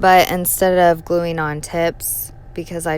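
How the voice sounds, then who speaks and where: A woman speaks quietly. Her pace is very slow. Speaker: nail art youtuber. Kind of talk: tutorial. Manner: casual, chatty.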